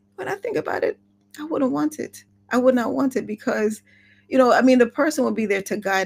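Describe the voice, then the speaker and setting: The woman's intonation is lively. She keeps up a fairly quick pace. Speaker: author and introvert coach. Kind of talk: casual livestream talk to camera. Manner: reflective, conversational.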